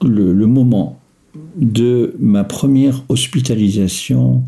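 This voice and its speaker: This is a man's voice. His intonation is lively. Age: 60s. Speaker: retiree living with bipolar disorder. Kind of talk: personal testimony. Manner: halting, with frequent hesitations.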